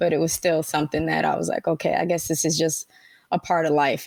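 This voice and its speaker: A woman talks at a very fast pace in a Spanish accent. The sound is dry and close, with no echo. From Panama (Colon), raised in Brooklyn, New York. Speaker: tech leader. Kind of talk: interview. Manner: casual.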